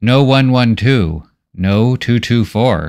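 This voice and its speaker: A man's put-on character voice at medium pitch and a very slow pace. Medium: read story. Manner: halting, broken speech, repeats words.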